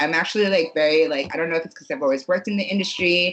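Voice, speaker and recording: With an American accent, a woman speaks at a fairly low pitch. Noticeable background noise can be heard. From New Jersey. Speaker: podcast guest. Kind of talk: casual chat. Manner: animated.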